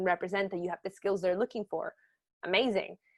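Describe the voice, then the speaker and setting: Captured with a dry, close sound and no echo, a woman talks at medium pitch. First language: not English. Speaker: journalism trainer. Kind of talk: webinar lecture. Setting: online webinar. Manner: casual, lively.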